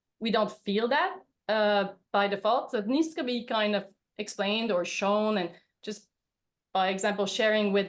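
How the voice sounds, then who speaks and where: A woman with a Quebec accent at a moderate pace against a quiet background. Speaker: veterinarian. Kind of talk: webinar presentation.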